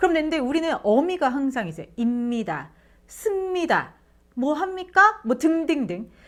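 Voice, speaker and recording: A woman speaks at a fairly slow pace with an animated tone, her high pitch moving in very wide swings. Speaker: interview coach and former broadcaster. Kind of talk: tutorial.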